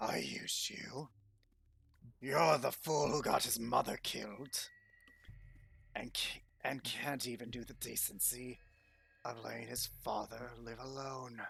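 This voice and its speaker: The speaker uses a put-on character voice at a low-to-middle pitch, going at a fairly slow pace with long, frequent pauses. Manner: angry, menacing.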